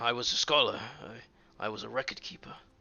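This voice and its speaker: A man uses a raspy, put-on character voice at medium pitch. He races along at a very fast pace. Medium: actual play. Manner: hesitant, earnest.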